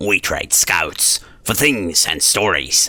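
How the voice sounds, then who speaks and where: A man's raspy, put-on character voice, fairly low in pitch and at a very slow pace. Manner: hopeful.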